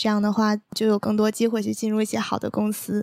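Soft-spoken with a gentle tone, a woman talks at a fairly high pitch. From Northeast China, Heilongjiang (Daqing). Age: 20s. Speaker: exchange student. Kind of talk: casual interview chat. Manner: gentle, soft tone.

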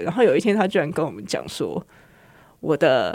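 A woman with vocal fry and very wide pitch swings in a very clean recording with a silent background. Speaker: horticultural therapist. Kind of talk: interview.

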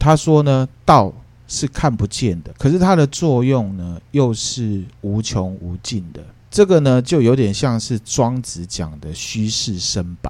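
A man at medium pitch, very slow in pace, with very wide pitch swings and big swings in loudness, on a very clean recording with a silent background. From Taiwan. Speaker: podcast host explaining classical philosophy. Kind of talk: casual explanatory podcast chat.

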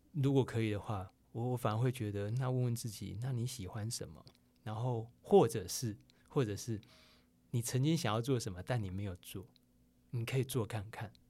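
Over a silent background in a very clean recording, a man with a dark, mellow, somewhat breathy tone talks at a moderate pace in a medium pitch with ordinary pitch variation. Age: 40s. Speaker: advertising director and writer. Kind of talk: interview. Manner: halting, many fillers.

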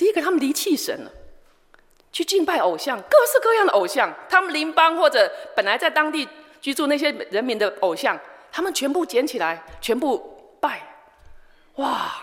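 A woman with a Taiwanese accent, high in pitch, with very wide pitch swings, long and frequent pauses, and noticeable background noise. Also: moderate pace. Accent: Taiwanese Mandarin. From Taiwan, Changhua countryside. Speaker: missionary. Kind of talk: sermon.

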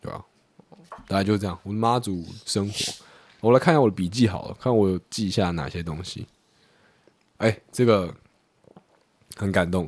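A man's fairly low voice at a moderate pace, with long, frequent pauses, big swings in loudness and ordinary pitch variation. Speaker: podcast co-host; conscript soldier on leave. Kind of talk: casual chat.

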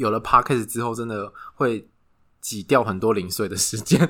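A man talks at a medium pitch with a bright, sharp tone. The recording is very clean, with a silent background. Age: 30s. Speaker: podcast co-host. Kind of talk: casual chat.

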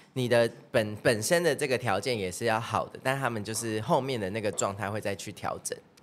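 The speech comes at a fairly quick pace with hardly any pauses and ordinary pitch variation, over noticeable background noise. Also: man, medium pitch for a man. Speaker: singer and dancer. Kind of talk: casual chat.

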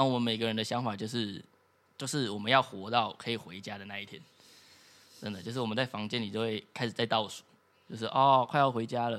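With a Taiwanese accent, a man talks at a very fast pace broken by long, frequent pauses, his intonation fairly even and his loudness swinging widely. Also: medium pitch for a man. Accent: Taiwanese Mandarin. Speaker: former exchange student. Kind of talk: casual chat.

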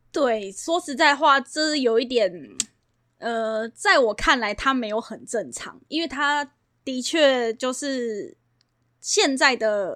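A woman's high-pitched, bright, sharp voice with lively intonation and big swings in loudness, at a very slow pace, in a Taiwanese accent, on a very clean recording with a silent background. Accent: Taiwanese Mandarin. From Taiwan, Banqiao (New Taipei). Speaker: real estate agent. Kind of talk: casual interview chat.

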